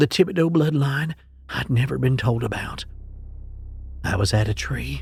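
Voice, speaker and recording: With music in the background, a man speaks at a fairly slow pace and medium pitch. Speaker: horror story narrator. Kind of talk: horror story narration.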